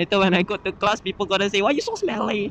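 A man's high voice at a moderate pace, dry with no echo, over light background noise. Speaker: motovlogger rider. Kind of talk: casual vlog chat. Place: motorbike. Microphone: helmet.

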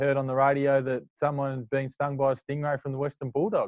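The pace is fairly quick. The pitch barely moves. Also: man.

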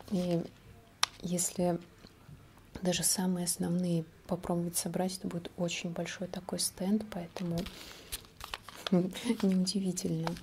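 Over noticeable background noise, a woman speaks very slowly in a monotone, flat intonation, with long, frequent pauses. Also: fairly low pitch for a woman. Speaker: ASMR creator. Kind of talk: ASMR whisper-style talk to camera. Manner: casual, conversational, unhurried. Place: home room.

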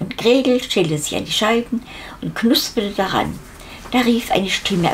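The pitch in this natural reading voice varies in an ordinary way.

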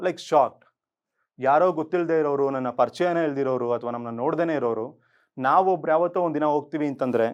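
Over a quiet background, a man talks in a plain, everyday voice. His pitch is fairly high. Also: ordinary pitch variation. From Bengaluru, Karnataka. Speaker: corporate trainer and NGO founder. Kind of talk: motivational talk.

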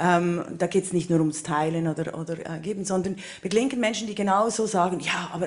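A woman with a Swiss German accent talks at a fairly quick pace with ordinary pitch variation. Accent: Swiss German-accented High German. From Switzerland. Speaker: political scientist panelist. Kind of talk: panel discussion. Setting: stage with audience. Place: stage. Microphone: handheld.

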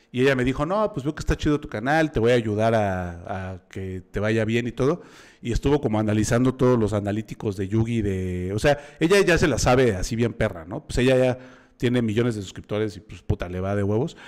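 Against a quiet background, a man with a Mexican accent talks at a fairly quick pace, medium in pitch with ordinary pitch variation. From Mexico. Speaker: podcast host. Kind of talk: casual chat. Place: home room. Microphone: studio mic.

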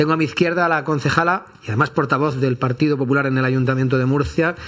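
A man is speaking. His intonation is fairly even and his pace is fast. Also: medium pitch for a man, fairly bright tone.

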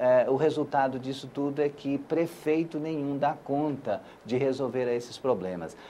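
A fairly slow, fairly high-pitched male voice with a dark, mellow tone and ordinary pitch variation. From Brazil, Acre. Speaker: senator. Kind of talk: interview. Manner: hesitant, many fillers.

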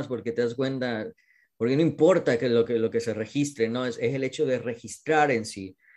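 This man has an unremarkable speaking voice at medium pitch. His intonation is fairly even. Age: 40s. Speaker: experimental filmmaker. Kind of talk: interview.

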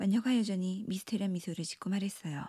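A somewhat breathy voice of dark, mellow tone, ordinary pitch variation and a dry, close sound with no echo. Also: woman. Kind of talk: bedtime story telling, narrated fairy tale with character voices. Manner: animated, lightly theatrical, shifting pitch between narrator, pirate, mermaid and witch.

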